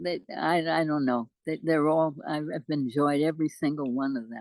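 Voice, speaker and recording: Speaking with an American accent, a woman uses a very deep, low pitch and ordinary pitch variation. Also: moderate pace. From New York. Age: 80s+; old. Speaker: poet. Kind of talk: interview answer.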